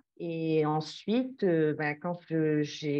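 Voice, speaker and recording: A woman's voice, fairly low in pitch. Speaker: project founder, climate and art curator. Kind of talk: interview. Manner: halting, many hesitations.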